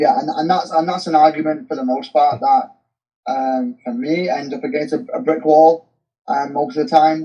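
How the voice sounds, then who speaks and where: A man with a dark, mellow tone and fairly high pitch speaks at a moderate pace with lively intonation. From Manchester, England. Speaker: goalkeeper coach. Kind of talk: podcast interview. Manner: hesitant, many fillers and restarts.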